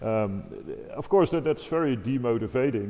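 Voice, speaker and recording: Speaking fairly quickly with a non-native accent, a man uses lively intonation. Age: 50s. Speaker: organist and improviser. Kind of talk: interview conversation.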